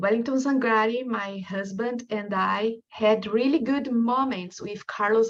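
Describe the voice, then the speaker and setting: The speaker has a strong Brazilian accent and talks at a fairly slow pace. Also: woman. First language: Portuguese. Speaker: researcher. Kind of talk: lecture.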